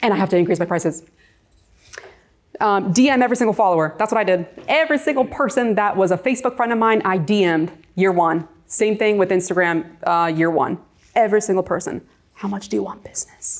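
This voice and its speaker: In an American accent, a woman speaks at a very fast pace with lively intonation. Her pitch is medium. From New York. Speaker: real estate agent and coach. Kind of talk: presentation. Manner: loud; talkative.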